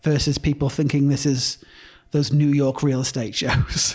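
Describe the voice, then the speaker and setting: Somewhat breathy, a man speaks at a moderate pace in an English accent. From northern England. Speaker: real estate broker. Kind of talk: casual chat.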